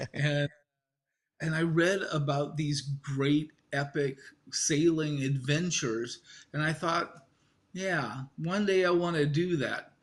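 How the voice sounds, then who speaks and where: With an American accent, a man speaks at a very slow pace, leaving long, frequent pauses. His voice is somewhat breathy and his intonation fairly even. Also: fairly high pitch for a man. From US Midwest, Iowa. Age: 60s. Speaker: sailor. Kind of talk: interview.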